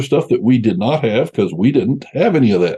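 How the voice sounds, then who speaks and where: At a fairly quick pace, a man speaks with an American accent. His voice is medium in pitch with a dark, mellow tone. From US South (Tennessee and Georgia). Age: 70s. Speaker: real estate investor. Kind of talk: interview. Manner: hesitant, filler-heavy.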